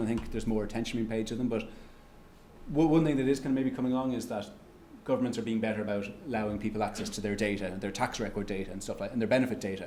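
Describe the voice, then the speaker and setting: Audible room echo surrounds a man speaking at a very fast pace in an Irish accent. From Ireland. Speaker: economics researcher giving a lecture. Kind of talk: lecture with audience Q&A. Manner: halting, many restarts and fillers.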